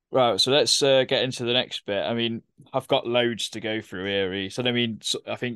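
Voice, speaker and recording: Recorded with a dry, close sound and no echo, a man with an East Midlands accent speaks at medium pitch with fairly even intonation. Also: quiet background. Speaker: podcast host. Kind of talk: casual chat.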